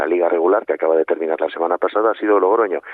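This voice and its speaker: A man is talking. His speech is very fast. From northern Spain, Santander (Cantabria). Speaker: sports league executive. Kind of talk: radio interview. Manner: halting, many repetitions and fillers.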